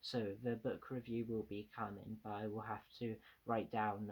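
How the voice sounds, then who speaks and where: A man's fairly low voice comes through in flat, monotone intonation. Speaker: book reviewer. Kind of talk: casual review to camera. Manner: stuttering, repeats words; halting with many fillers.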